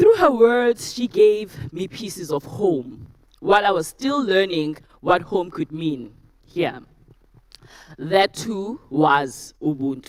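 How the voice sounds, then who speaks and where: At a very slow pace, a woman of medium pitch speaks with very wide pitch swings. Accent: South African. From South Africa. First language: isiZulu. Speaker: university lecturer, TEDx speaker. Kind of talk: talk to a live audience.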